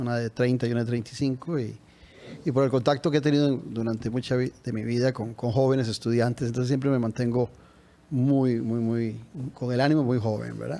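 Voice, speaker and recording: A man's dark, mellow tone with fairly even intonation. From Costa Rica, San José (Tibás). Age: 60s. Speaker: presidential candidate. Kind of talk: interview.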